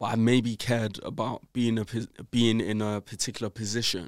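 A man's medium-pitched voice in a London accent, monotone and flat, at a moderate pace, with a dry, close sound with no echo, in a very clean recording with a silent background. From South London, England. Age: 20s. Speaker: entrepreneur and author. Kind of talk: interview. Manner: casual, filler-heavy.

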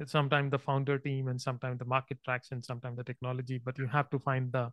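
A man speaks at a very fast pace in a medium-pitched, bright, sharp tone. His intonation is monotone and flat, and the sound is dry and close with no echo. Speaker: podcast host. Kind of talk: interview, host intro and questions.

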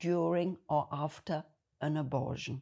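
Very slowly, a woman speaks with a German accent and vocal fry on a very clean recording with a silent background. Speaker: video blogger. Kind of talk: monologue to camera.

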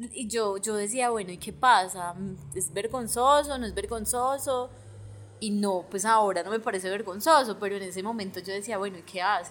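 A woman with an unremarkable speaking voice and a medium pitch talks at a moderate pace. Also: ordinary pitch variation. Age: 30s. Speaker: podcast co-host, economist. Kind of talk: casual conversation.

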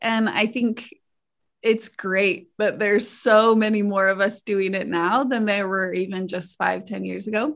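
In a plain, everyday voice, a woman with an American accent talks at a fairly slow pace, medium pitch and fairly even intonation, on a very clean recording with a silent background. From Idaho. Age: 20s. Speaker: sex educator and researcher. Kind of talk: interview.

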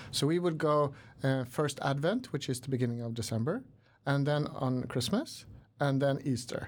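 Moderate pace in a Swedish accent, on a very clean recording with a silent background. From Sweden, Stockholm. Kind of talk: interview. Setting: studio. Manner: hesitant, many fillers.

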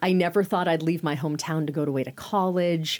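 A woman speaks in a Californian accent at a fairly low pitch. The recording is very clean with a silent background. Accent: General American (Californian). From Northern California (Sacramento). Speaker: communications coach and former TV journalist. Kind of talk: interview conversation.

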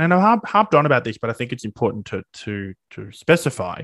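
The voice carries an Australian accent over a quiet background. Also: man. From regional Victoria, Australia. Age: 20s. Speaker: teaching student. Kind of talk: interview. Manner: animated.

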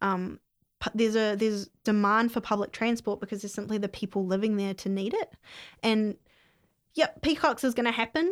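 Fairly quick, fairly even speech from a woman at medium pitch, on a very clean recording with a silent background. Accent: New Zealand. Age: 20s. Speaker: mayoral candidate. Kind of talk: casual interview.

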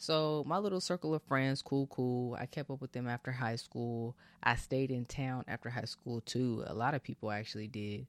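A man with an American accent and a normal speaking voice talks at a medium pitch and moderate pace with hardly any pauses and ordinary pitch variation, in a dry, close sound with no echo, recorded very cleanly against a silent background. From California, Bay Area. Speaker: podcast host. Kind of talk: casual solo monologue.

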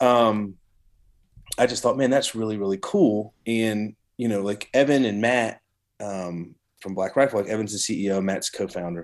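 Speaking at a moderate pace with a Southern US accent, a man uses a fairly low pitch in a very clean recording with a silent background. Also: ordinary pitch variation. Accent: Southern US (Georgia). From US South. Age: 40s. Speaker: coffee company hunting community manager. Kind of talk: casual chat.

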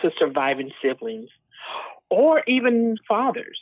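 This is a woman speaking with an American accent. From Texas. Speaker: bereaved mother, charity founder. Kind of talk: interview testimony. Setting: remote call.

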